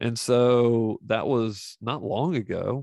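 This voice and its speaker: Against a quiet background, a man speaks in a monotone, flat way. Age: 50s. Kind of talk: monologue podcast teaching. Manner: casual, with many fillers.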